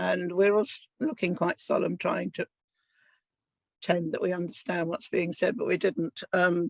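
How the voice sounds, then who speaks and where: A woman with a southern English accent, in a dry, close sound with no echo. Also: moderate pace. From England. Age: 70s. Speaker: Holocaust survivor. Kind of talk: testimony.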